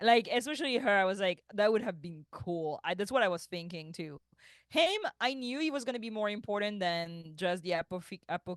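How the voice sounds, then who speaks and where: Fairly quick speech with a French accent against a quiet background. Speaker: podcast co-host. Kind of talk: casual chat.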